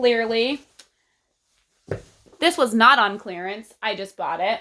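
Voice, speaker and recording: A woman with a Texas accent has a bright, sharp tone and ordinary pitch variation. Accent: Texas accent, long vowels. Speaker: book vlogger. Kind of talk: casual vlog talk.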